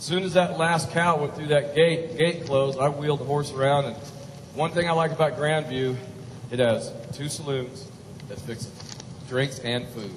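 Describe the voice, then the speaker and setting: A man's voice with long, frequent pauses over noticeable background noise. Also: fairly high pitch for a man, fairly even intonation, moderate pace. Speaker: cowboy poet. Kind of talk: humorous cowboy storytelling.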